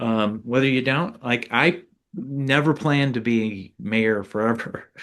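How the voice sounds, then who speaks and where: A man with an ordinary speaking voice, medium pitch and an American accent, at a fairly slow pace over a quiet background. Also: ordinary pitch variation, very even loudness. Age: 50s. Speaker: former mayor and author. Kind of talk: interview. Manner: casual, many fillers.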